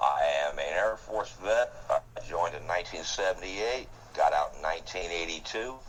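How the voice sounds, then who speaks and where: At a moderate pace, a man delivers his lines. Behind him there is noticeable background noise. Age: 60s. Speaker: Air Force veteran, gaming alliance leader. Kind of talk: interview.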